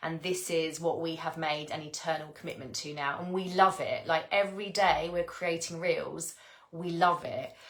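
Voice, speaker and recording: With noticeable background noise, a woman speaks at a moderate pace in a fairly low, warm voice with monotone, flat intonation. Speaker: spiritual teacher. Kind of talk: live stream talk. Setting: live video stream. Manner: stuttering a bit; warm, effusive.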